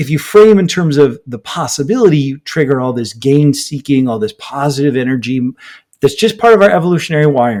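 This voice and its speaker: This is an unremarkable speaking voice with an American accent. It moves at a fairly quick pace with lively intonation. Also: man. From United States. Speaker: author and business researcher. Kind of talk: podcast interview.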